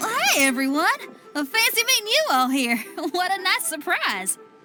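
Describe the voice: A woman performs a cartoonish character voice at an extremely high pitch, with a bright, sharp tone. Her pitch swings widely, and she keeps a moderate pace.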